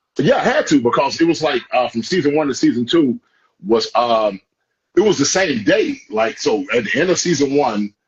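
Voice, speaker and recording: An animated, somewhat breathy voice swings very widely in pitch at a moderate pace while holding very even loudness. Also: man, fairly high pitch for a man. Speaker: actor. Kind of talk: casual chat.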